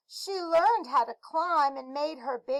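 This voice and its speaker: A woman's voice, high in pitch. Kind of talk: classroom read-aloud. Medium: read story. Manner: warm, explanatory.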